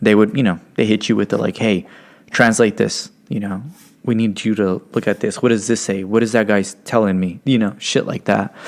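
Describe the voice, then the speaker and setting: A man with a Californian accent, fairly low in pitch, fairly even in intonation, at a moderate pace. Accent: Californian American English. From Stockton, California. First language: Spanish. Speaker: podcast co-host. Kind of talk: casual chat. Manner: casual, filler-heavy.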